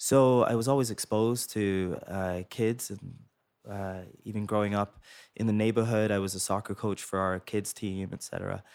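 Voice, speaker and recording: A man with a Canadian accent speaks at a moderate pace in a plain, everyday voice, fairly low in pitch with fairly even intonation, on a very clean recording with a silent background. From England, raised in Toronto from grade nine. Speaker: pediatrician, chief of pediatrics. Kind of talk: interview. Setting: studio.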